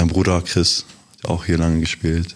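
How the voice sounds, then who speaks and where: Very deep, low male voice amid noticeable background noise. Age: 20s. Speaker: professional basketball player. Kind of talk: casual interview.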